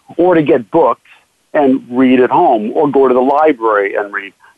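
At a moderate pace, a man with a normal speaking voice talks with lively intonation. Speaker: magician and actor. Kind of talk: casual interview chat.

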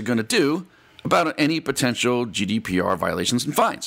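A medium-pitched man with an American accent. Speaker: cybersecurity radio host. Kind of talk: solo radio commentary. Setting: studio.

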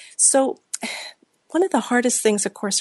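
Her voice has a somewhat breathy quality. The speaker is a woman. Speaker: radio host. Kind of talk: radio interview.

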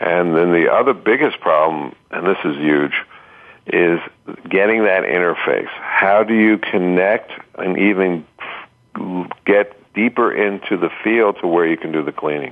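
A man speaks at a fairly slow pace. His voice is very deep and low. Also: ordinary pitch variation. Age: 60s. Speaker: bodywork therapist. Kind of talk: interview.

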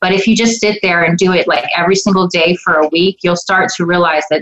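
A woman speaks at a moderate pace in a fairly low voice. Noticeable background noise runs behind her. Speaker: psychic medium and spiritual coach. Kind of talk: radio interview with live call-ins.

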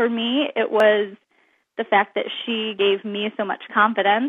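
Here is a woman with an unremarkable speaking voice and a fairly high pitch. Her pace is moderate. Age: 30s. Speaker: author. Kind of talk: interview. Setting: radio show.

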